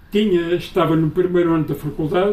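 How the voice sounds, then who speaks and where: High-pitched male speech, its intonation fairly even. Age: 70s. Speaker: author, retired teacher and school inspector. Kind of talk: book launch interview. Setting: book presentation with audience.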